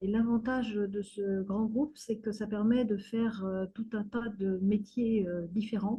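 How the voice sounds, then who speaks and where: With a fairly high pitch and a somewhat breathy sound, a woman speaks fairly slowly in a monotone, flat intonation. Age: 60s. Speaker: retired community activist. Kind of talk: interview testimony. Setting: video call. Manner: hesitant, many fillers.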